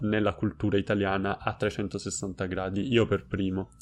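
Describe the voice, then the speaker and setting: Music plays in the background behind a man. His fairly low voice stays monotone and flat. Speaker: Italian language YouTuber. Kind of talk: casual interview chat. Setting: video call.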